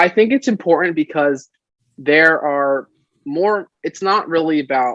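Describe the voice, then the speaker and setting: The man's voice sits fairly high and moves with lively intonation. The sound is dry and close, with no echo. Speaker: college student and campus club president. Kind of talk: interview. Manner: loud.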